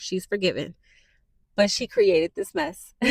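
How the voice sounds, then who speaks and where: A woman's voice comes through with a dry, close sound with no echo. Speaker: new YouTuber / podcaster. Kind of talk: casual personal monologue to camera. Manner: soft-spoken; halting, many fillers.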